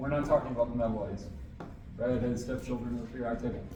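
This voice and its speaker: A man's medium-pitched voice with noticeable background noise and audible room echo. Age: late middle-aged. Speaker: college chemistry instructor. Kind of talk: lecture. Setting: classroom, also recorded on camera. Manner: loud.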